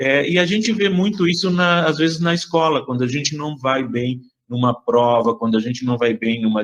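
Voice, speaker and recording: A man with a Rio Grande do Sul accent, fairly high in pitch, lively intonation and a moderate pace. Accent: southern Brazilian gaúcho Portuguese. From Uruguay, moved to southern Brazil at ten. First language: Spanish (speaking Portuguese). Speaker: educator leading a class activity. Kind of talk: online class talk with children. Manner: hesitant, many fillers.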